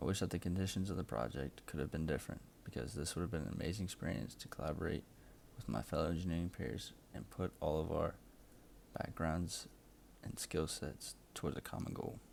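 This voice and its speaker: Vocal fry runs through speech delivered at a fairly quick pace with ordinary pitch variation. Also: man, very deep, low pitch for a man. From South Louisiana marshes. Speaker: engineering student. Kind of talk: class project presentation. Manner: scripted.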